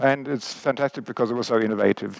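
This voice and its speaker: Against a quiet background, a man with an Australian accent speaks at a medium pitch and moderate pace, his intonation fairly even. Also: dry sound with no echo. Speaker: biomechanics professor. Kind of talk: lecture. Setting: stage with audience. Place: stage. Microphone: headset.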